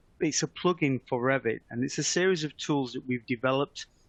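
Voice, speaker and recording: A man talks at a fairly quick pace with a British accent, his pitch medium and its variation ordinary. The sound is dry and close, with no echo. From UK. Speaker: software product manager. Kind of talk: webinar presentation. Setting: online webinar. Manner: hesitant, with frequent fillers.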